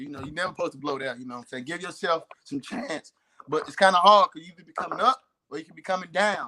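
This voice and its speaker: With a Southern US accent, a man speaks in a high pitch and a bright, sharp tone, his loudness swinging widely, in a dry, close sound with no echo. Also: lively intonation. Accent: Southern drawl. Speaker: talk show co-host. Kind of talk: casual chat. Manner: fast; slurred words.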